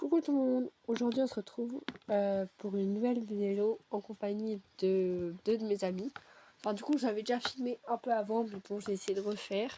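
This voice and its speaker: Her dark, mellow tone sitting fairly high for a woman, she speaks at a moderate pace with ordinary pitch variation. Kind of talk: casual video game commentary.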